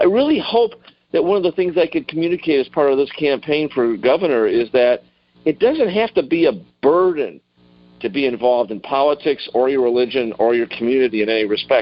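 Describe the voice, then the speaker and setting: A man speaks at a fairly quick pace with lively intonation and a fairly high pitch. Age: 60s. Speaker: political candidate. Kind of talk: interview. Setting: phone call. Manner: halting.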